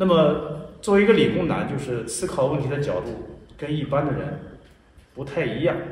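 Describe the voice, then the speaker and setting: Pausing long and often, a man speaks at a moderate pace with a fairly high pitch and ordinary pitch variation. The room echo is audible, with light background noise. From Jiaozuo, Henan, China; Henan, China. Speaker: tai chi teacher and school founder; tai chi teacher. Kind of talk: interview. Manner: serious, stern; formal. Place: garden.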